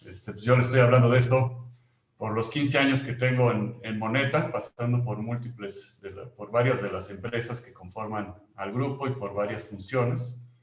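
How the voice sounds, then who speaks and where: A man with a Mexican accent speaks at medium pitch. His pace is moderate and his intonation fairly even. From Mexico. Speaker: company employee presenting a webinar. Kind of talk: webinar presentation. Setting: online webinar.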